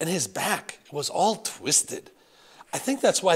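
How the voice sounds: Natural reading voice, nothing more.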